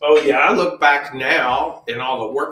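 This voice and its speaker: At a fairly slow pace, a man with a fairly high pitch uses an ordinary speaking voice. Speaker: Santa Claus performer. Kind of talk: interview.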